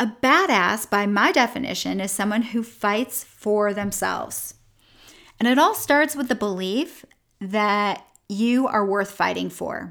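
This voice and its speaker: A woman with a normal speaking voice talks at a fairly slow pace and a fairly high pitch with ordinary pitch variation, in a very clean recording with a silent background. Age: 50s. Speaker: weight loss coach and podcast host. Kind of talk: motivational monologue. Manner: upbeat, encouraging.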